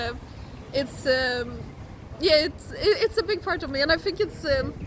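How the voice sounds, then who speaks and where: In a Polish accent, a woman speaks at a high pitch with lively intonation. Her pace is moderate, and background noise is noticeable. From Sweden, Gothenburg. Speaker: intern student. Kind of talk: interview. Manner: halting.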